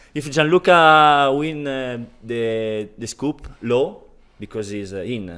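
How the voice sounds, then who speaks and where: A man with an Italian accent speaks at a very slow pace, his intonation lively. His tone is bright and sharp, and the recording is very clean with a silent background. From Italy. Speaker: online poker player. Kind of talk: casual interview. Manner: halting.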